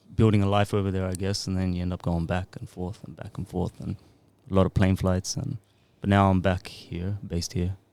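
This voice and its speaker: At a fairly quick pace, a man with a very deep, low voice speaks with fairly even intonation. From Australia, Sydney. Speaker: music producer and songwriter. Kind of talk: casual chat.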